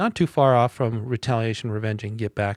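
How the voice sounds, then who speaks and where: A man's medium-pitched voice with ordinary pitch variation, dry and close with no echo, on a very clean recording against a silent background. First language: not English. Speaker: music reviewer podcast host. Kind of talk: casual album review monologue. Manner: casual, conversational with fillers.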